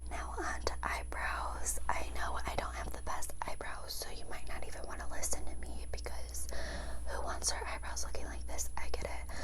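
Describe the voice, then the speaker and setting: A woman talks at a moderate pace with a very deep, low pitch and monotone, flat intonation. Noticeable background noise runs under her voice. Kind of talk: ASMR whispering and casual talk. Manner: whispered.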